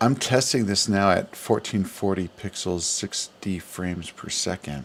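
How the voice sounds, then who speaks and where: Quiet and fairly low, a man's voice moves at a fairly slow pace with ordinary pitch variation. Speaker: livestreamer. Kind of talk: casual livestream chat. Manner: quiet, low.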